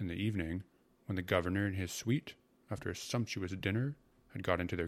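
Ordinary rises and falls in pitch within a natural reading voice.

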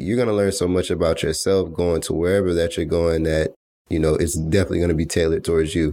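A man speaks at a very fast pace in a very deep, low voice. His tone is dark and mellow, with very even loudness. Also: very clean recording, silent background. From US South, Atlanta, Georgia. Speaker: podcast host. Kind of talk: solo motivational monologue. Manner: casual, laid-back; not very enthusiastic.

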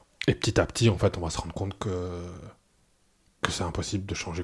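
A man with a very deep, low pitch speaks at a fairly quick pace, somewhat breathy and in a monotone, flat intonation. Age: 40s. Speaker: former cult member. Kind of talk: testimony. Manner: halting, many hesitations and repetitions.

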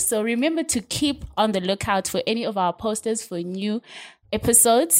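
Recorded very cleanly against a silent background, a woman speaks at a moderate pace with lively intonation. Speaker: podcast host. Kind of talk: casual interview.

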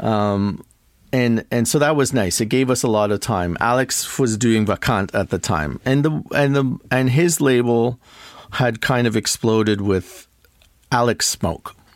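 In a Canadian accent, a man with an unremarkable speaking voice talks at a fairly slow pace, his medium pitch showing ordinary variation and his loudness very even, in a dry, close sound with no echo. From Toronto, Canada. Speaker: DJ and record producer. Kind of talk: casual interview chat.

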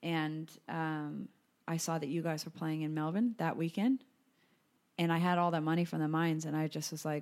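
In a Californian accent, a woman with a very deep, low pitch speaks at a moderate pace with fairly even intonation and long, frequent pauses, on a very clean recording with a silent background. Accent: American, laid-back Californian-sounding. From US, Colorado. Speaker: podcast host. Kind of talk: casual chat.

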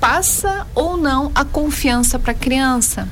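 A woman speaks very slowly in a high-pitched voice, with noticeable background noise and audible room echo. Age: 40s. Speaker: psychotherapist. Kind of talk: interview.

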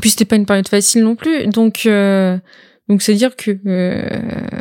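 A woman speaks at a fairly slow pace with a fairly high pitch and a dark, mellow tone. The recording is very clean and dry, close with no echo, over a silent background. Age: 20s. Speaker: video game trailer editor and roleplay streamer. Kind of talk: casual interview. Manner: halting.

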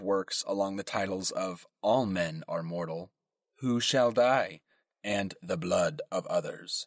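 The sound around this man with an American accent is dry and close, with no echo. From US West Coast. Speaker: podcast host. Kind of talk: scripted narration with casual humor. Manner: animated.

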